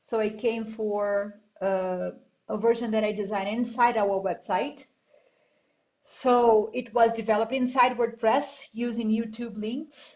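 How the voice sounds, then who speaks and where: A woman with a Spanish accent, fairly slow in pace, flat and monotone in intonation. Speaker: graduate student artist. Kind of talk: class project presentation. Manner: halting.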